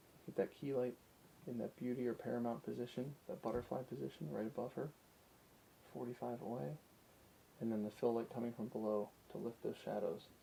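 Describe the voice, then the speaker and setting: Soft-spoken and medium-pitched, a man talks at a fairly quick pace with lively intonation and a dark, mellow tone, broken by long, frequent pauses. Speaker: photography enthusiast. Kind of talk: ASMR photography commentary.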